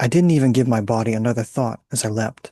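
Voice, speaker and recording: With ordinary pitch variation and a moderate pace, a man speaks in an unremarkable speaking voice over a quiet background. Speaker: author and narrator. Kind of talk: audio drama narration.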